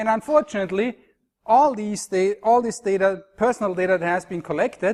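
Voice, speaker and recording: A man's high-pitched voice in an Austrian accent, fairly quick in pace, with ordinary pitch variation over a quiet background. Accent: Austrian German accent, noticeable. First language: German. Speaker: university lecturer. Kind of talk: conference talk. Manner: hesitant, with fillers and restarts.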